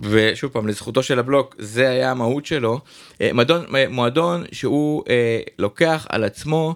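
Here a man with a medium pitch talks at a fairly slow pace with ordinary pitch variation. The recording is very clean, with a silent background. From Israel, Jerusalem. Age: 40s. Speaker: DJ booking agency owner. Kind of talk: casual interview.

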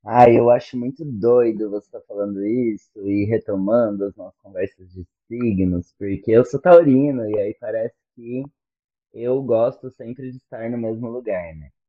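A plain, everyday voice talks at a moderate pace with ordinary pitch variation. Its loudness swings widely. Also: man, medium pitch for a man. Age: 30s. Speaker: teacher and doctoral student. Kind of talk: casual chat.

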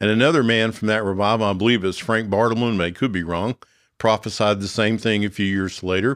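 On a very clean recording with a silent background, a man with an American accent uses an ordinary speaking voice. His pitch is fairly low, his pace fairly quick and his intonation fairly even. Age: 60s. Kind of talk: teaching podcast talk.

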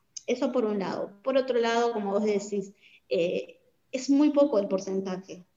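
A woman with a normal speaking voice, fairly high in pitch, with ordinary pitch variation, at a moderate pace. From Bolivia. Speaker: migrant community worker. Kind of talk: interview.

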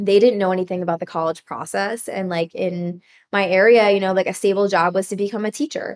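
At a very fast pace, a woman with an American accent speaks at medium pitch with fairly even intonation. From US Northeast, rural northern New Jersey. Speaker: wedding photographer, former teacher. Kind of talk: casual interview chat.

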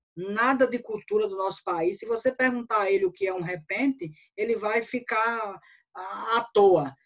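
A woman speaks with lively intonation at a fairly high pitch. Hers is an unremarkable speaking voice. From Brazil, interior of Bahia (Northeast). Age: 40s. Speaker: cordel poet and writer. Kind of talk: casual interview.

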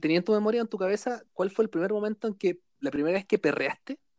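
A man with a Chilean accent talks at a fairly quick pace. The sound is dry and close, with no echo. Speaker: podcast host. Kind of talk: casual chat.

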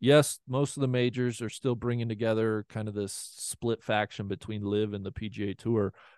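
Someone with an American accent speaks at a moderate pace in a normal speaking voice. The sound is dry and close with no echo, and the background is quiet. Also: man. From Ohio. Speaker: golf media podcaster. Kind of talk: podcast interview.

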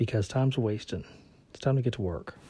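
A man speaks at a very fast pace with a medium pitch and ordinary pitch variation. His tone is dark and mellow, and somewhat breathy. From US South. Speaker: career podcaster. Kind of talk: solo podcast monologue.

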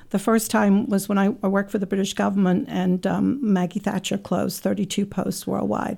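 Her voice has a dark, mellow tone, a medium pitch and vocal fry, and her intonation is fairly even. This woman keeps her loudness very even and leaves hardly any pauses. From England. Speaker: business owner. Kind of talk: interview.

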